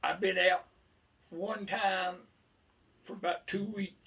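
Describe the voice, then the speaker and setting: A man with a rural Southern US accent. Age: 80s+. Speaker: veteran beekeeper. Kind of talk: casual chat.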